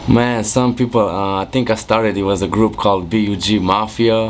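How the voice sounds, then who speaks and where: A man with a Romanian accent speaks at a fairly slow pace with fairly even intonation, over noticeable background noise. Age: 20s. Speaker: music producer. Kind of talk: interview. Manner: casual, hesitant with fillers.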